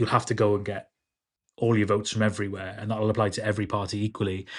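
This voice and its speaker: Against a quiet background, a man in a South Welsh accent speaks at a very fast pace, his fairly low voice monotone and flat. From Wales, Carmarthenshire (Ammanford area). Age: 30s. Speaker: political candidate. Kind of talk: interview.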